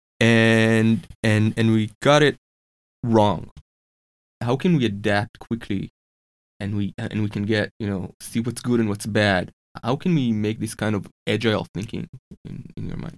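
In a dry, close sound with no echo, a man with a medium pitch and ordinary pitch variation talks at a fairly slow pace with long, frequent pauses. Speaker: podcast co-host. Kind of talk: podcast interview, conversational. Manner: dry, joking.

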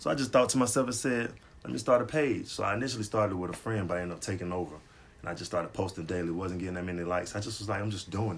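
Someone speaks at a very fast pace with ordinary pitch variation. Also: man, fairly low pitch for a man. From Atlanta area, Georgia. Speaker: podcast co-host, motivational Instagram page runner. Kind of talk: casual chat.

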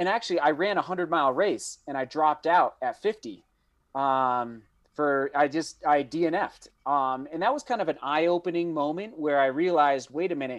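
A normal speaking voice at a moderate pace, ordinary pitch variation, quiet background. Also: man, fairly high pitch for a man. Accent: American. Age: 30s. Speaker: professional runner and running YouTuber. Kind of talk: casual interview chat. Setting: video call.

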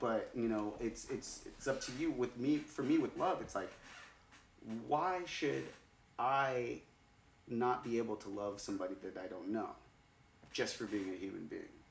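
A man speaks with long, frequent pauses. Room echo is audible around him. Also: moderate pace. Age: 30s. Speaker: podcast host. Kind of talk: casual chat. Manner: animated.

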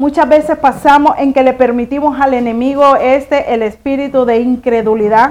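A woman speaks at a fairly slow pace. Her voice is high. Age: 50s. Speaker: pastor. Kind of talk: sermon.

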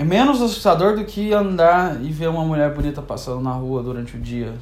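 A man talks at a fairly quick pace with lively intonation. Noticeable background noise and audible room echo surround him. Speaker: podcaster. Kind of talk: monologue. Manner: melodramatic.

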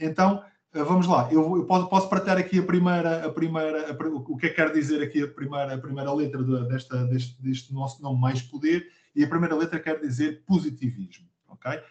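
Speaking at a fairly quick pace with a European Portuguese accent, a man uses a fairly high pitch with ordinary pitch variation. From Portugal, Abrantes. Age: 40s. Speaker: podcast co-host, business leader and coach. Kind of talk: casual conversational podcast. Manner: hesitant, many fillers and repetitions.

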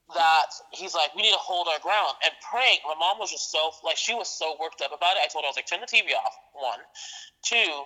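A woman's normal speaking voice, fairly low in pitch, with lively intonation and a fairly quick pace. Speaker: podcast guest. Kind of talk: casual chat.

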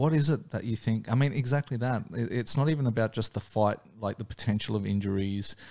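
In a very clean recording with a silent background, a man with an Australian accent speaks at medium pitch and a fairly quick pace, with ordinary pitch variation and hardly any pauses. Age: 40s. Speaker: podcast host. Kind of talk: interview. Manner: hesitant, many fillers.

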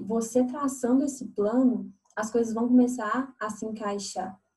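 A woman's high-pitched voice with a dark, mellow tone, fairly even intonation and a fairly slow pace. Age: 20s. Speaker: fashion entrepreneur. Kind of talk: interview.

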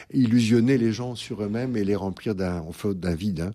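This man has a fairly low pitch and a dark, mellow tone, with ordinary pitch variation. He talks at a moderate pace over a very clean recording with a silent background. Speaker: priest and psychoanalyst. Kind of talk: radio interview. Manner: halting, with hesitations.

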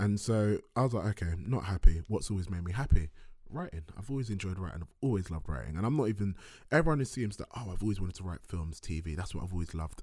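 A somewhat breathy man with a very deep, low pitch and a London accent, very fast and with lively intonation, on a very clean recording with a silent background. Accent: London English (multicultural London). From South London. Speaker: filmmaker and writer. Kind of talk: casual chat. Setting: studio.

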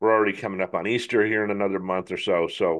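Over a quiet background, a man speaks at a fairly low pitch with ordinary pitch variation. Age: 60s. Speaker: podcast host. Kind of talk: casual monologue. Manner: halting, many fillers.

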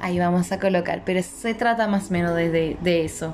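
A woman's medium-pitched voice with lively intonation, set against noticeable background noise. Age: 30s. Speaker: podcast host. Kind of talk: casual monologue. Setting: living room at home. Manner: halting.

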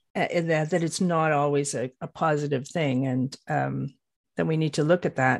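With a Canadian accent, a woman with a very deep, low voice speaks at a moderate pace with fairly even intonation. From Canada. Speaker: author and spiritual teacher. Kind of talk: interview. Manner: halting, many fillers and repeats.

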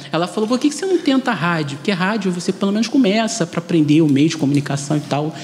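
Over noticeable background noise, a man with a high pitch speaks with lively intonation. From Brazil, Rio de Janeiro west zone. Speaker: journalist and radio presenter. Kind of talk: panel discussion.

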